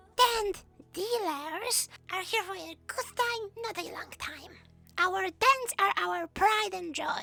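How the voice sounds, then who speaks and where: A raised, projected voice with lively intonation carries over music in the background. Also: woman. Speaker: community news host. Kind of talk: gaming community news broadcast.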